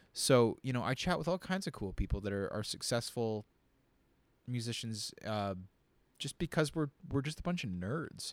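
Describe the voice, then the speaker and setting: A man with a Canadian accent at a medium pitch, moderate pace and lively intonation, with long, frequent pauses, a dry, close sound with no echo and a very clean, silent-background recording. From Windsor, Ontario, Canada. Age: 20s. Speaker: session guitarist. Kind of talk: casual chat. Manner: halting, many fillers and repetitions.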